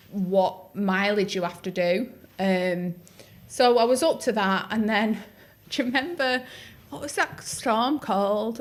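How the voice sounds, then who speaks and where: With a Northwest English accent, a woman at a medium pitch talks at a fairly slow pace with lively intonation and long, frequent pauses. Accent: North-West English. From North-West England. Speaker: podcast host, runner. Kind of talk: casual podcast conversation.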